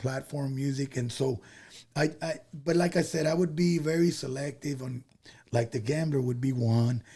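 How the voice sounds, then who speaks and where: Somewhat breathy and dark, mellow in tone, a man with an American accent speaks at a moderate pace. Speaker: Tejano singer. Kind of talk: casual chat. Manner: halting.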